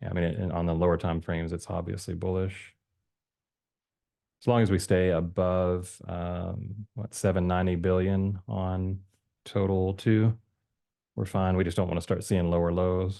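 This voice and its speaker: With a very deep, low pitch and a dark, mellow tone, a man talks in a monotone, flat delivery against a quiet background. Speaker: crypto chart analyst youtuber. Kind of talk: casual chart analysis commentary. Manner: fast; hesitant, many fillers.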